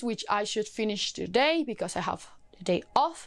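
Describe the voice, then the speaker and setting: On a very clean recording with a silent background, a woman speaks with a non-native accent. Her pace is moderate and her intonation lively. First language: not English. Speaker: book YouTuber. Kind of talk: casual book review vlog. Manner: animated.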